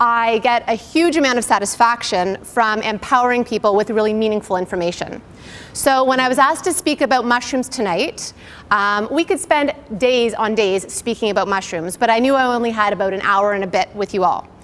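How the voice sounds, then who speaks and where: A fairly high-pitched woman talking at a fairly quick pace with ordinary pitch variation amid noticeable background noise. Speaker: naturopathic doctor. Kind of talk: lecture. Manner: loud.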